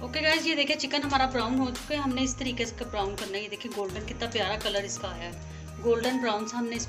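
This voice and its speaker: A woman talks at a fairly quick pace with hardly any pauses. Clear music plays in the background. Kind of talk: tutorial. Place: kitchen. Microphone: phone near.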